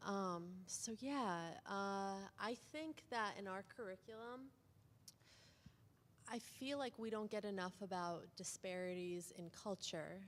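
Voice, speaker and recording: Long, frequent pauses break up a woman's very slow speech, which has a medium pitch and ordinary pitch variation. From outside the United States. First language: not English (English is third language). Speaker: pharmacy student. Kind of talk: panel discussion. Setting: event with audience, microphone.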